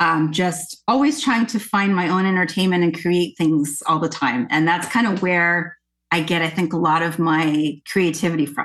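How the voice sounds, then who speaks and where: A normal speaking voice from a woman, fairly low in pitch, with a Canadian accent, very even loudness, ordinary pitch variation, a moderate pace and hardly any pauses. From Nova Scotia, Canada. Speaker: singer and actress. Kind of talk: interview conversation.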